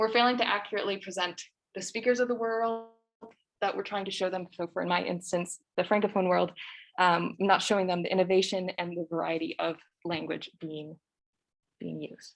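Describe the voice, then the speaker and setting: Here a woman talks at a fairly quick pace. Her pitch is medium and her intonation fairly even. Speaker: French language instructor. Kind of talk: lecture. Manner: fast.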